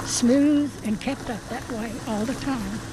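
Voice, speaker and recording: Over noticeable background noise, a woman with a high pitch speaks at a very slow pace, her pitch varying an ordinary amount. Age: 80s+. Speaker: trailer park resident. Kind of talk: news interview.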